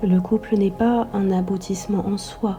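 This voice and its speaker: Soft-spoken and very slow, a woman with a medium pitch talks in a monotone, flat intonation while music plays in the background. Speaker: sophrologist and astrologer. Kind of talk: meditative spiritual podcast.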